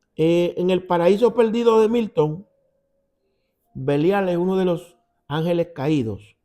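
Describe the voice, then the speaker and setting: Over music in the background, a man with a Puerto Rican accent speaks at a fairly slow pace with long, frequent pauses. His pitch is high, with ordinary variation. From Puerto Rico. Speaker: Bible teacher. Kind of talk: Bible study. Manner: conversational.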